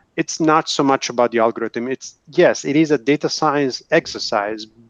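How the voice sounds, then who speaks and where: A man's fairly high voice in an Italian accent, with lively intonation at a moderate pace, dry and close with no echo against a quiet background. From Italy. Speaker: engineer, video tech industry panelist. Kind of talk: panel discussion. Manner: hesitant, with fillers.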